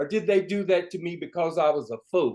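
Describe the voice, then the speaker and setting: A man talks in a high pitch. His pace is moderate. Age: 80s+. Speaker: retired public television professional and mentor, panelist. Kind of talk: panel discussion.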